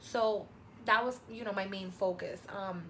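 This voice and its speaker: A woman with a Spanish accent talks in an animated tone at a medium pitch. Noticeable background noise is present. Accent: Spanish-speaking. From New York. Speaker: travel vlogger. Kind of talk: casual vlog monologue.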